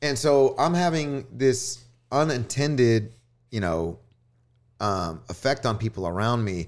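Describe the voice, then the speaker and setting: A man with a Texan accent at a fairly slow pace, with long, frequent pauses, on a very clean recording with a silent background. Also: medium pitch for a man, lively intonation. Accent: Texan American. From US South, northwest Houston suburbs, Texas. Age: 30s. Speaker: DJ. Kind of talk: casual chat. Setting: studio.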